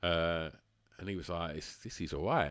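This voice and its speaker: Very deep and low in pitch, a man with an Essex accent talks at a fairly quick pace using fairly even intonation. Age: 40s. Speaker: musician and club runner. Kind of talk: casual chat. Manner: halting.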